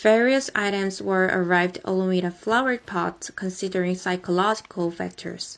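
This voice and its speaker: A woman speaks at a moderate pace in a Korean accent. Her intonation is fairly even, with hardly any pauses. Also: medium pitch for a woman. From South Korea. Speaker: college news videographer. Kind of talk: video narration.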